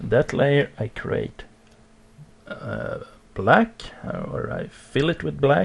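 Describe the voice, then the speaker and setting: A man talks at a very slow pace with a non-native accent. Noticeable background noise is present. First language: not English. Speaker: digital art tutorial creator. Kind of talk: tutorial. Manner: halting, many fillers.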